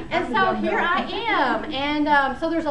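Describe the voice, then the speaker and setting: Over noticeable background noise and audible room echo, a woman uses a raised, projected voice at a high pitch with ordinary pitch variation. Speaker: volunteer astronomy lecturer. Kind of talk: lecture. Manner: fast; animated.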